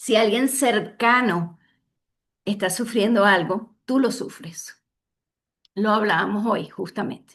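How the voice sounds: Speech moves at a slow pace with ordinary pitch variation. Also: woman, medium pitch for a woman.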